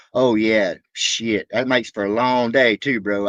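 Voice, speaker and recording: Against a quiet background with a dry, close sound and no echo, a man with a Southern accent speaks at a medium pitch with ordinary variation. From Alabama. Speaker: reaction livestreamer. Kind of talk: casual livestream chat. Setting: livestream.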